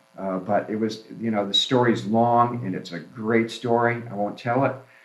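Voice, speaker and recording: Moderately paced male speech, medium-pitched, with fairly even intonation and audible room echo. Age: 60s. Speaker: flower farmer. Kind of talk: casual chat. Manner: halting.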